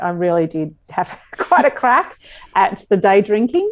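This woman has an Australian accent. She speaks at a fairly slow pace. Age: 40s. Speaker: comedian and radio host. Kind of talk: casual interview chat. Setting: video call.

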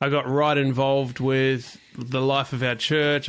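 Against a quiet background, the speaker has a New Zealand accent and a bright, sharp tone. The intonation stays fairly even. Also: man. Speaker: worship leader. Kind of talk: interview.

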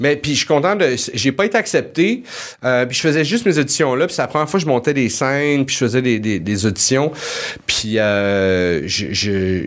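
There is noticeable background noise behind a man with a medium pitch. He keeps a moderate pace and makes very wide pitch swings. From Montreal, Quebec. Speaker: comedy writer. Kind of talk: casual chat.

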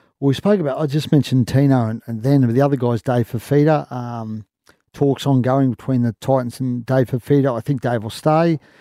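A man has an unremarkable speaking voice, medium in pitch with fairly even intonation, in a dry, close sound with no echo. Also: fairly quick pace. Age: 40s. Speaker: rugby league journalist. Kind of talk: casual chat. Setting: studio.

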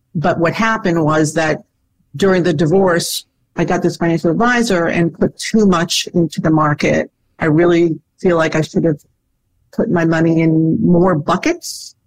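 At a moderate pace, a woman with a fairly low pitch uses fairly even intonation in an ordinary speaking voice. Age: 60s. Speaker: divorced lawyer seeking advice. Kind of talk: advice conversation.

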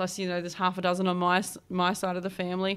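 In an Australian accent, a woman speaks at medium pitch in a very clean recording with a silent background. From Australia, New South Wales east coast. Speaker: homelessness support worker. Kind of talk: interview, lived experience testimony.

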